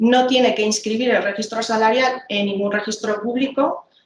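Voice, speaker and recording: Amid audible room echo and light background noise, a woman talks fairly quickly in a fairly high voice with fairly even intonation. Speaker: labor inspector presenting a tool; trainer presenting slides. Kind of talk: training presentation. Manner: fast; hesitant, many fillers. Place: office. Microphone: video call.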